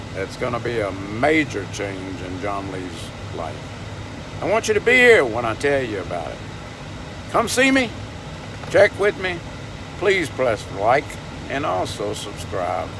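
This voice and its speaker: With a Southern US accent, a man speaks at a fairly slow pace in a medium-pitched voice, taking long, frequent pauses. His pitch swings very widely, and noticeable background noise and audible room echo come through. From US South, Louisiana (Baton Rouge). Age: 70s. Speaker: vlogger. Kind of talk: casual vlog monologue.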